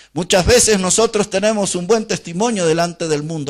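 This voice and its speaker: This man's voice sits at a high pitch. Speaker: Baptist preacher / pastor. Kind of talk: sermon preached to a congregation.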